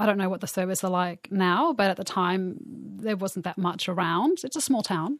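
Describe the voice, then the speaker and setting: A woman with an Australian accent, hardly any pauses. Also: medium pitch for a woman, ordinary pitch variation, moderate pace. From Australia, Bathurst, country New South Wales. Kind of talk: interview.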